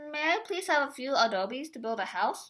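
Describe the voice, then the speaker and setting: Putting on a character voice, a woman speaks high in pitch. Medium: read story.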